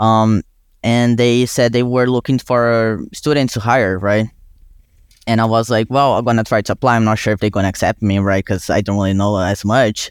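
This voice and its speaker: With a Brazilian accent, a man talks at a moderate pace in a medium pitch, his intonation fairly even and the sound dry and close with no echo. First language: Portuguese. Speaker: college student and intern. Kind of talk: casual interview conversation.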